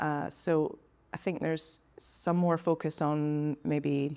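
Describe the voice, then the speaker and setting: Speaking with a Scottish accent, a woman has a very deep, low voice with a dark, mellow tone. She talks at a very slow pace in monotone, flat intonation on a very clean recording with a silent background. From Speyside, Scotland. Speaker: whisky senior account manager. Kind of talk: interview answer. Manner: casual, hesitant.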